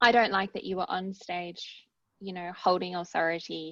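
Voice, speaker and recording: A woman with an Australian accent talks at a moderate pace. Her fairly low pitch holds fairly even intonation. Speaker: academic researcher and author. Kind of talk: casual chat.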